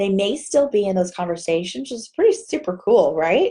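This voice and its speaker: Against a quiet background, a woman talks in a Texas accent. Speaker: direct sales team leader. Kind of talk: live video Q&A tutorial. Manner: casual, chatty. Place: home room. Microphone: webcam.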